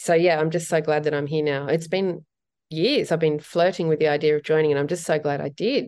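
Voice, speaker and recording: Fairly quick speech in an Australian accent, with fairly even intonation over a quiet background. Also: woman, very deep, low pitch for a woman. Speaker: portrait photographer. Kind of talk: interview.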